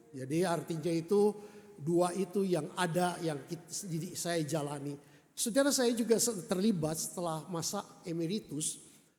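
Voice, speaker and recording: A man's high voice with ordinary pitch variation at a moderate pace, in audible room echo. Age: 70. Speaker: retired pastor. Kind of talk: sermon. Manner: halting.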